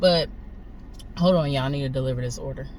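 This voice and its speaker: The speaker has an American accent, and there is noticeable noise in the background. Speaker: gig delivery driver vlogger. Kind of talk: casual vlog monologue. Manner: halting.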